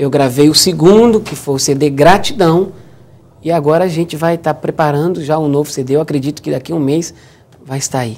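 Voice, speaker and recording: Fairly high in pitch, a man talks at a fairly quick pace in a plain, everyday voice. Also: ordinary pitch variation. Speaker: gospel singer and church keyboardist. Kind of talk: interview.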